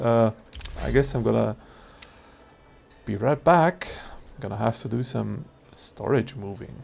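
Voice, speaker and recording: Speaking at a fairly slow pace with a non-native accent, a man shows vocal fry, big swings in loudness, ordinary pitch variation, and long, frequent pauses. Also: medium pitch for a man. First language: not English. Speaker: gaming youtuber. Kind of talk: casual gameplay commentary. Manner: hesitant, many fillers.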